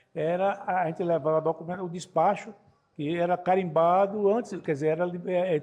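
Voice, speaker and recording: Fairly even in intonation, a man talks at a moderate pace in a high pitch. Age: 60s. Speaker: customs broker federation president. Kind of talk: podcast interview. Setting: trade fair stand.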